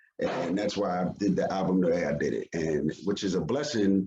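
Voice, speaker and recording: With a New York accent, a man speaks in a fairly low pitch with lively intonation. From Yonkers, New York. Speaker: hip hop artist. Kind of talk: interview.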